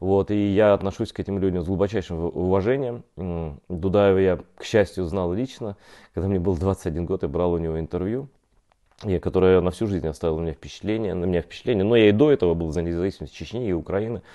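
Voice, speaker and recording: Against a quiet background, a man speaks very fast with a very deep, low pitch, a dark, mellow tone and ordinary pitch variation. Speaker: journalist. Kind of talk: online interview. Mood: serious, earnest. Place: home room. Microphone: poor internet connection; lapel.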